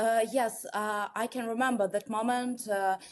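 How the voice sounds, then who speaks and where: In a very clean recording with a silent background, a woman with a Russian accent speaks at a very slow pace. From Russia, Moscow. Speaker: watercolor artist. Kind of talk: interview. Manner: halting, many fillers.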